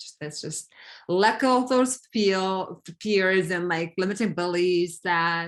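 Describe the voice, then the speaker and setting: A woman with a non-native accent. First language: not English. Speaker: coaching client. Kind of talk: coaching session. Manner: halting.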